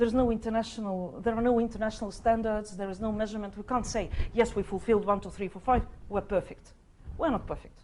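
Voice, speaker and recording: A woman with a Russian accent talks very fast in a fairly high pitch, her tone dark and mellow. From Estonia. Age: 50s. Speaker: diplomat. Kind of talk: panel discussion. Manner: halting.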